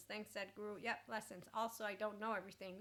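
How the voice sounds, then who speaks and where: In a normal speaking voice, a woman talks at a fairly quick pace and a fairly high pitch with fairly even intonation. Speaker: life coach and podcast host. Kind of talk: casual spiritual self-help talk.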